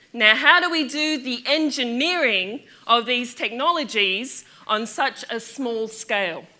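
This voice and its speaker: The intonation is lively and the pace fairly slow. Noticeable background noise runs underneath. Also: woman, high pitch for a woman. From Australia. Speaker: physics lecturer. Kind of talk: public lecture. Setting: lecture theatre with audience. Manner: animated.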